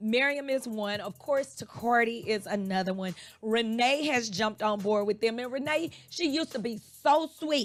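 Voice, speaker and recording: Over background music, a woman sounds animated, speaking at a moderate pace at a fairly high pitch with ordinary variation. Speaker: fitness instructor. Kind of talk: radio interview.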